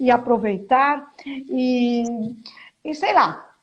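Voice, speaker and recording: A woman talks in a high-pitched voice with ordinary pitch variation. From Brazil, São Paulo state (São Caetano do Sul). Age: 60s. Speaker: teacher and author. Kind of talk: interview on a live stream. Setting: live stream.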